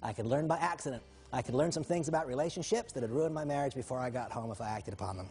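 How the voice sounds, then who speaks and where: A man talks with ordinary pitch variation, and music can be heard behind him. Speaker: motivational speaker. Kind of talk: motivational talk. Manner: fast.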